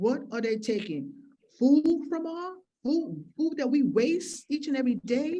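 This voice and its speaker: A woman speaks fairly slowly in a high voice with a dark, mellow tone and lively intonation. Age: 60s. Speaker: keynote speaker, farmer activist. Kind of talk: keynote speech. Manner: impassioned, emphatic.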